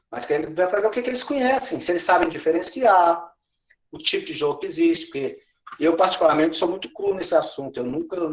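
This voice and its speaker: Using lively intonation, a man with a high pitch speaks at a fairly quick pace. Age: 60s. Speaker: education trainer / pedagogical advisor. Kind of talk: teacher training session.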